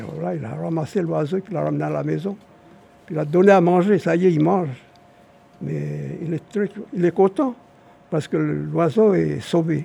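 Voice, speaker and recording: A man keeps a moderate pace but breaks it with long, frequent pauses, while noticeable background noise runs underneath. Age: 80s+. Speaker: traditional storyteller. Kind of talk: storytelling. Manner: halting.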